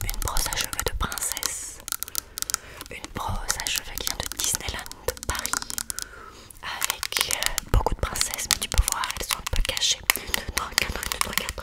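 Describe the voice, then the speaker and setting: A woman whispers, soft-spoken. Her pauses are long and frequent. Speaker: ASMR creator. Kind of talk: soft ASMR show-and-tell chat. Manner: soft close-mic ASMR whisper. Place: home room. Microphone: studio mic.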